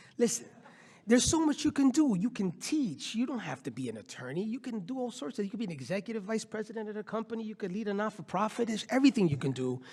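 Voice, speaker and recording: Loud and very fast, a man talks at a high pitch with very wide pitch swings. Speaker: nonprofit CEO and law professor. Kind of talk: panel discussion. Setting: conference stage with audience. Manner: animated.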